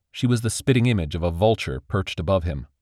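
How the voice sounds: Natural voice for reading aloud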